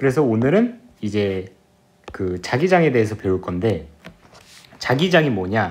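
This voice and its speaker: At a moderate pace, a man talks at a medium pitch with very wide pitch swings, and audible room echo is heard. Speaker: physics tutor. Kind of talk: lecture.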